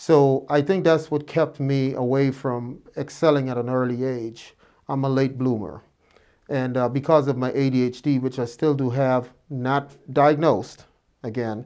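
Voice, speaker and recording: A man with an American accent, medium in pitch, with a dark, mellow tone, fairly even intonation and a fairly slow pace. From Guyana, Georgetown area. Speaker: physician. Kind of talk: interview. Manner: hesitant with fillers.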